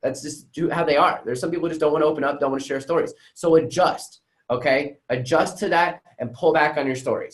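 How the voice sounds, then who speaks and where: This man talks at a very fast pace. His pitch is fairly high. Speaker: sales coach. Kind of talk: unscripted live training talk. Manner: energetic.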